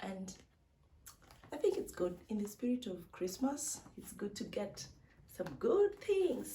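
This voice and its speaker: This woman's fairly high voice is somewhat breathy, with a dark, mellow tone, lively intonation and a fairly slow pace. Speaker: vlogger. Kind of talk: unboxing vlog. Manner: animated.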